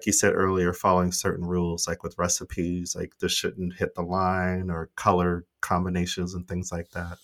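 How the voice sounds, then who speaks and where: A man with an American accent talks in a very deep, low, monotone voice with flat intonation at a moderate pace, hardly pausing, on a very clean recording with a silent background. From United States. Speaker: podcast co-host. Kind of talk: casual chat.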